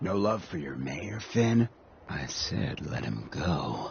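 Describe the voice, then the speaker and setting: A put-on character voice from a man, growling at a very deep, low pitch with very wide pitch swings, fairly slow in pace, over clear background noise. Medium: video game. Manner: laid-back, streetwise.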